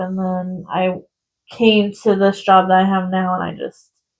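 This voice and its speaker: A woman speaks softly. Her pace is very slow. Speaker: crafting youtuber. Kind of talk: casual chat. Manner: gets loud when excited; soft-spoken.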